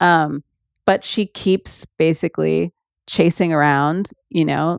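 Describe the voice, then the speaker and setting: Recorded very cleanly against a silent background, a woman speaks very slowly in a very deep, low voice. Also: dry, close sound with no echo. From Ghana. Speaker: podcast host. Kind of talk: casual monologue. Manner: conversational with frequent fillers.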